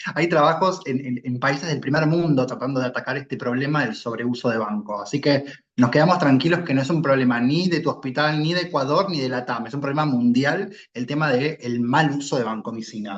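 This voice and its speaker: A man with a Rioplatense accent, fairly high-pitched, at a fairly quick pace with hardly any pauses and ordinary pitch variation. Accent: Argentine Rioplatense Spanish. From Argentina. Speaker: clinical pharmacist expert. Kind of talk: expert feedback in online medical session.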